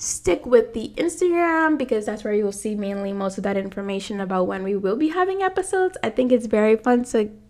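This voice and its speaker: Noticeable background noise fills the recording. The woman's intonation is lively. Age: 20s. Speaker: podcast host, graduate student. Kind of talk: casual faith talk. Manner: animated.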